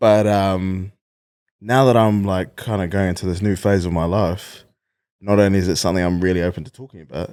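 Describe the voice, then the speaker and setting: A man with a New Zealand accent has a very deep, low pitch and fairly even intonation, talking at a fairly quick pace. His loudness swings widely on a very clean recording with a silent background. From New Zealand, Wellington. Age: 20s. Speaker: comedian. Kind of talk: casual chat.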